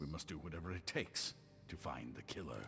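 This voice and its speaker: A man's put-on character voice at a fairly quick pace, against clear background noise. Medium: video game. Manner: earnest, measured.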